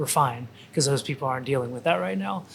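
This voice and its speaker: A soft-spoken man with a fairly high pitch. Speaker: restaurant owner and chef. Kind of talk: casual interview chat. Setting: in a restaurant. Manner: hesitant, repeats words.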